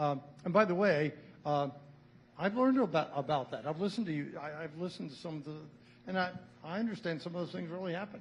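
This man has a high-pitched voice and talks very fast. He leaves long pauses often. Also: ordinary pitch variation. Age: 70s. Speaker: school board chair. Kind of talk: public meeting remarks. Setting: school board meeting. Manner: halting.

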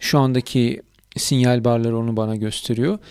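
A man talks at a fairly slow pace in a very clean recording where the background is silent. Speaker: YouTuber reviewing audio gear. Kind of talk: product review tutorial.

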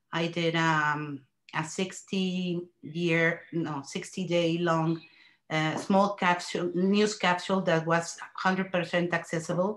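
A woman with a Mexican accent speaks at a very slow pace. Her pitch is fairly low and her intonation monotone and flat. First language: Spanish. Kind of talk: panel discussion. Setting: video call.

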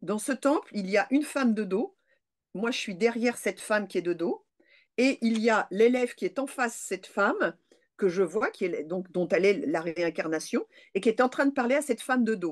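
Over a quiet background, a woman talks at a fairly high pitch with lively intonation. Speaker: parapsychologist and lecturer; lecturer. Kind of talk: interview testimony. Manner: fast. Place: home room. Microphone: webcam.

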